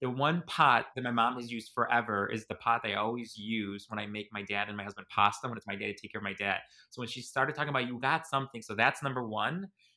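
A man with an American accent talks at a very fast pace, with hardly any pauses. His voice sits at a medium pitch with ordinary pitch variation, a bright, sharp tone and big swings in loudness. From US Midwest, Chicago. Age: 40s. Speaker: podcast host, guest receiving a reading. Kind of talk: emotional conversation.

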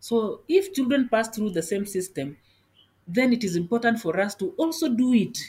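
The voice has a dark, mellow tone and is somewhat breathy. Its pitch swings very widely at a moderate pace. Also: woman. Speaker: judge. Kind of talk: interview.

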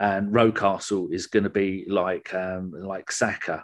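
Over a quiet background, the voice carries an English accent and fairly even intonation. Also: man. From England. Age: 50s. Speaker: football fan podcaster. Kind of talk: casual chat.

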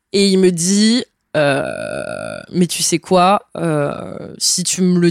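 On a very clean recording with a silent background, a woman with a plain, everyday voice speaks at a fairly low pitch with ordinary pitch variation. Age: 20s. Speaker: traveler. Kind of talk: interview. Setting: at the host's home.

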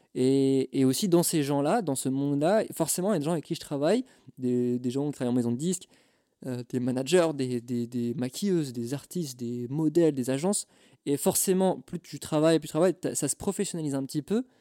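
In a very clean recording with a silent background, a man speaks at a fairly high pitch and a fairly quick pace. His tone is dark and mellow, with ordinary pitch variation and a dry, close sound with no echo. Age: 20s. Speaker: photographer and videographer. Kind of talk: casual interview chat. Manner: halting, many fillers.

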